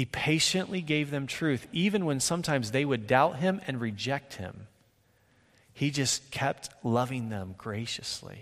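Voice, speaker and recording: Here a man with an ordinary speaking voice and a fairly high pitch talks at a fairly slow pace, his intonation lively. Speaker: preacher. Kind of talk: sermon. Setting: church; stage with audience.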